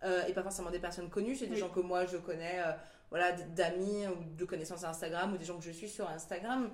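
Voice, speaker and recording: Through noticeable background noise and audible room echo, a woman with a fairly low pitch talks at a fairly quick pace with fairly even intonation. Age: 30s. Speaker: teacher and artist. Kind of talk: casual interview.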